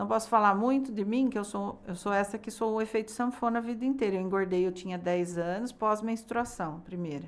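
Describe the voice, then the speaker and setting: A woman with a fairly high pitch talks at a fairly quick pace, with hardly any pauses. It is an unremarkable speaking voice with ordinary pitch variation. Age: 60s. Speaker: biodecoding therapist. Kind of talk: podcast interview.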